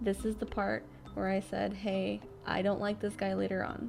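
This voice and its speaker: Music plays behind a woman who talks at a moderate speed. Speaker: true crime podcast host. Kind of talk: casual podcast recap of documentary.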